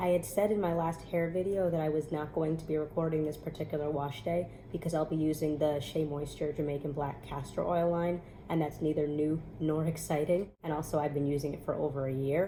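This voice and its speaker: A woman with an American accent talks at a fairly quick pace in a very deep, low pitch, her tone dark and mellow, somewhat breathy, with monotone, flat intonation. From New York. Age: 30s. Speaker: natural hair vlogger. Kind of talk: casual talk to camera.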